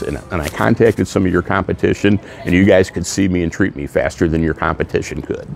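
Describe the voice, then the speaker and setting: A man with a very deep, low pitch speaks at a fairly quick pace, the sound dry with no echo and faint music in the background. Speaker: cancer survivor. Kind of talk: interview answer. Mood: earnest, grateful. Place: hall.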